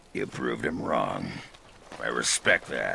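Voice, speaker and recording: Over clear background noise, a man does a raspy, put-on character voice at a fairly slow pace. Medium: video game. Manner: blunt, gruff.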